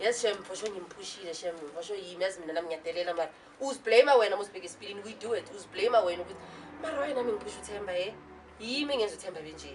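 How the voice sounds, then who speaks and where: A woman talks at a very fast pace with medium pitch, lively intonation and an animated tone. Her loudness swings widely, and background noise is noticeable. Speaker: talk show panelist. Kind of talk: talk show discussion.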